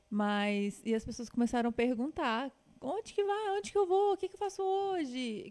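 A woman's high voice at a moderate pace, with very wide pitch swings and big swings in loudness. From Minas Gerais, Brazil (Patos de Minas). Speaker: travel and food influencer. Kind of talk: casual chat.

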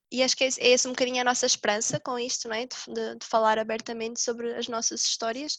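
Fairly high-pitched woman at a very fast pace with hardly any pauses, flat and monotone in intonation, her loudness swinging widely. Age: 20s. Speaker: podcast co-host, mother. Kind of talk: casual chat.

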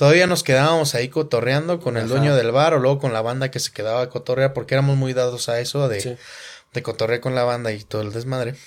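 A man with a Mexican accent speaks at a very fast pace and fairly even intonation. The recording is very clean, with a silent background. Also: medium pitch for a man. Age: 30s. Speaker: podcast host and musician. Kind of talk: casual chat.

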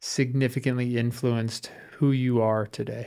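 A man at medium pitch and moderate pace, a plain, everyday voice. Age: 30s. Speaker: podcast host. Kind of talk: casual interview. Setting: studio.

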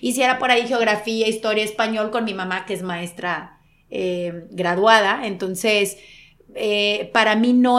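A woman with an unremarkable speaking voice at medium pitch, fairly slow and with fairly even intonation. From Monterrey, Mexico. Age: 40s. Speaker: sports broadcaster. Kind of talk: interview conversation.

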